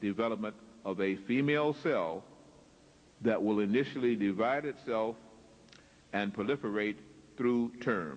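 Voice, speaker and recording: A man speaks with lively intonation. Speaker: lecturer. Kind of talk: lecture. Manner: slow.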